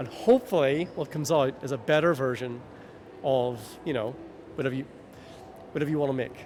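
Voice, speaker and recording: A man with a Northern Irish accent speaks with a fairly high pitch and ordinary pitch variation. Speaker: video game UX consultant. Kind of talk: interview. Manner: animated.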